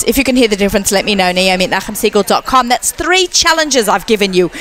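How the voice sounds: Words rush out at a very fast pace with music in the background.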